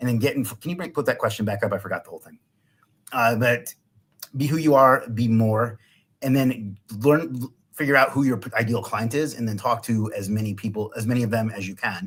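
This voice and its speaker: A man talks loudly at a fairly quick pace in a medium pitch. His tone is energetic, with ordinary pitch variation. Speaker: business owner. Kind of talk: live stream interview. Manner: loud and energetic.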